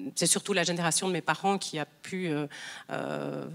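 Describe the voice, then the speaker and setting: A woman speaks at a fairly slow pace with a fairly low pitch. Her intonation is fairly even, and vocal fry runs through her voice. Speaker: restaurant owner. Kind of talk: panel discussion. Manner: halting.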